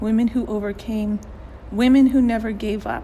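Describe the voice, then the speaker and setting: Through noticeable background noise, a woman speaks at a moderate pace and a fairly high pitch in a monotone, flat intonation. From New Mexico, Navajo (Diné) heritage. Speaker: digital storyteller. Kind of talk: personal narrative, scripted reading.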